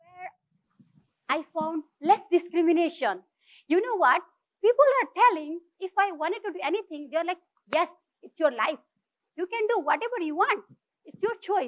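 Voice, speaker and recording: Over a quiet background, a woman with a Nepali accent speaks in an extremely high pitch with lively intonation, big swings in loudness, and long, frequent pauses. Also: moderate pace. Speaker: social entrepreneur; speaker. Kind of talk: inspirational talk. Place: stage.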